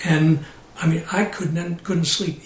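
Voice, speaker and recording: Over noticeable background noise, a man with a high voice talks at a fairly quick pace. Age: 60s. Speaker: abuse survivor and nonprofit director. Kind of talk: interview testimony.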